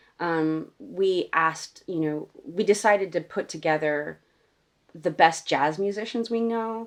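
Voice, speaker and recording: Her pitch fairly low and her intonation lively, a woman speaks at a fairly slow pace. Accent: American. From United States. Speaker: singer-songwriter and radio host. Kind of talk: casual interview chat.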